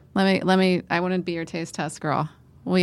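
A woman's normal speaking voice, fairly low in pitch, at a fairly quick pace, in a very clean recording with a silent background. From Pennsylvania, Northumberland County. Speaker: TV reporter. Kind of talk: casual chat.

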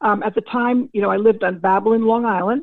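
A woman speaks with fairly even intonation in a fairly high pitch, using a normal speaking voice. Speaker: former football scout. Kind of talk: interview.

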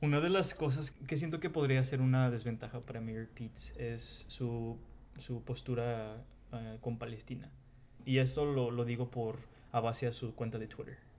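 At a fairly slow pace, a man talks in an ordinary speaking voice, medium in pitch, with fairly even intonation. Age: 20s. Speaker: account manager. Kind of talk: group interview.

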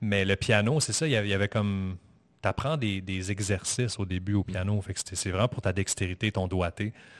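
In a dry, close recording with no echo and a quiet background, a man speaks at a fairly low pitch with ordinary pitch variation. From Montreal, Quebec. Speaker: musician and podcaster. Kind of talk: casual interview chat. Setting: studio. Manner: calm.

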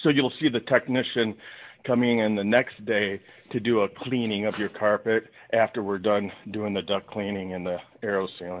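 This man has a plain, everyday voice with a fairly low pitch. He talks at a moderate pace with fairly even intonation. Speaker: business owner, duct cleaning. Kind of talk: interview.

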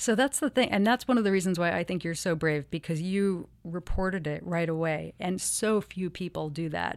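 A woman with a plain, everyday voice, fairly low in pitch, ordinary pitch variation and hardly any pauses. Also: moderate pace. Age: 30s. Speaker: model and activist. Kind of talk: interview.

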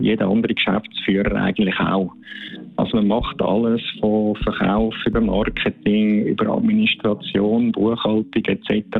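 With noticeable background noise behind him, a man speaks at medium pitch and a moderate pace, with ordinary pitch variation. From Switzerland, Zürcher Unterland. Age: 50s. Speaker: former skeleton athlete, bobsled track manager. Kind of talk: interview.

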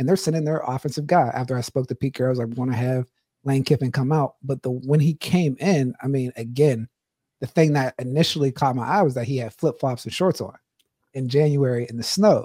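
The sound is dry and close with no echo as a somewhat breathy man talks at a fairly quick pace with ordinary pitch variation. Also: medium pitch for a man. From Pittsburgh. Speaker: former football player, podcast co-host. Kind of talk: casual chat.

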